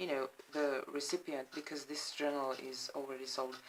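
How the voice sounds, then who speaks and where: Moderate pace and monotone, flat intonation, with a non-native accent. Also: woman. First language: not English. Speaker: crafter showing handmade journals. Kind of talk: product flip-through. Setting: at home, apartment. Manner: halting, many fillers.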